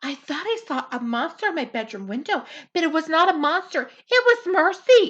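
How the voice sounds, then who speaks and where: This put-on character voice swings very widely in pitch and moves at a moderate pace. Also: woman, extremely high pitch for a woman, quiet background. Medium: read story. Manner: soft, fretful.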